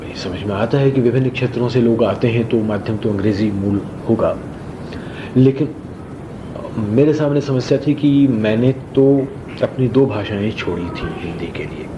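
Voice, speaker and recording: Over noticeable background noise, a man with a medium-pitched voice and ordinary pitch variation speaks with long, frequent pauses. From Bihar, Mithila region, India. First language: Maithili and Rajasthani (speaking Hindi). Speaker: theatre actor and director. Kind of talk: interview. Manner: formal.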